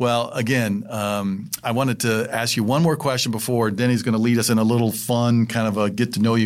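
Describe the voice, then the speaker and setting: Here is a normal speaking voice with an American accent at a fairly quick pace. The intonation stays fairly even. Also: man. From Indiana. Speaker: school superintendent. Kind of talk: casual interview.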